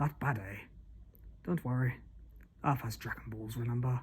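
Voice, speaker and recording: Putting on a character voice, a man speaks at a moderate pace and medium pitch with fairly even intonation. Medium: read story. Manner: grave, declaiming.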